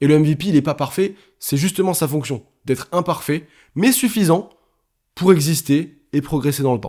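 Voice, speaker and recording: A man talks at a moderate pace, his pitch fairly high with ordinary variation. The recording is very clean, with a silent background. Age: 20s. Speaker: podcaster and YouTuber. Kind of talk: solo podcast monologue. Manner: casual, conversational with many fillers.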